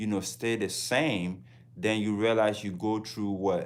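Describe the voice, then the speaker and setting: In a Ghanaian accent, a man speaks at a moderate pace with a fairly low pitch. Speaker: travel vlogger. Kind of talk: casual livestream talk.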